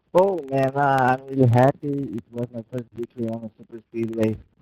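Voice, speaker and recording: With a Brazilian Portuguese accent, the voice has a dark, mellow tone and fairly even intonation in a dry, close sound with no echo. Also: man. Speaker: sim racing driver. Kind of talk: post-race interview.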